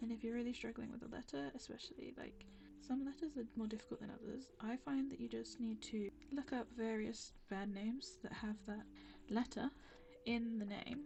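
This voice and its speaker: A woman's fairly high voice with vocal fry, ordinary pitch variation and a moderate pace. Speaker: art YouTuber. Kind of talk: casual chat to camera while drawing. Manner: halting, stumbles over words.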